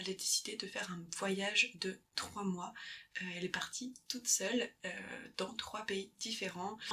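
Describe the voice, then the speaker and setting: Over noticeable background noise, a woman speaks at a fairly slow pace in a medium pitch with fairly even intonation. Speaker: ASMR creator and book lover. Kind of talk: book recommendation, summarising a memoir's story in casual talk. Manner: soft-spoken, hesitant, self-correcting.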